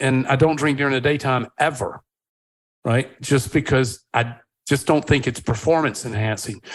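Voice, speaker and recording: A man with an American accent, a normal speaking voice, medium pitch, fairly even intonation, and a moderate pace. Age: 60s. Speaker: wine company founder. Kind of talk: podcast interview.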